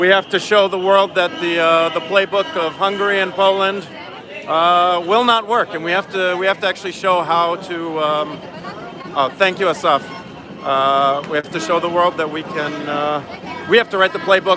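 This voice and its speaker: A man with a New York accent at high pitch and moderate pace, ordinary pitch variation and music in the background. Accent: New York American. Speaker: street interviewer at a protest. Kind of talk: live street reporting. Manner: halting, many fillers.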